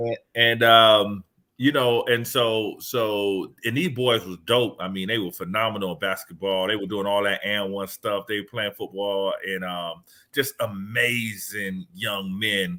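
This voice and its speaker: Speaking at a fairly slow pace, a man talks with a Southern accent. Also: fairly even intonation. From Miami, Florida (US South). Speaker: education speaker and author. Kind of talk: podcast interview. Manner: halting, with many repeated words.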